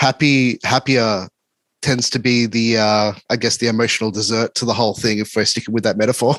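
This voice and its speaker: A man with an Australian accent speaks in a flat monotone at very even loudness. The sound is dry and close, with no echo. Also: medium pitch for a man, fairly quick pace. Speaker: podcast host and music reviewer. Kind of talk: interview. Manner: casual.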